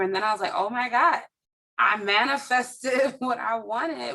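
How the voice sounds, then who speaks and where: The speaker has an American accent. Their tone is bright and sharp. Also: woman. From Minneapolis, US Midwest. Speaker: educator and bookstore owner. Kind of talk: interview.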